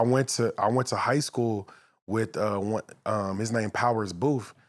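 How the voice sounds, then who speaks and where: With an American accent, a man speaks in a plain, everyday voice of medium pitch, keeping a moderate pace and fairly even intonation. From Los Angeles, San Fernando Valley. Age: 30s. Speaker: actor and former football player. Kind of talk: casual chat. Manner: laid-back.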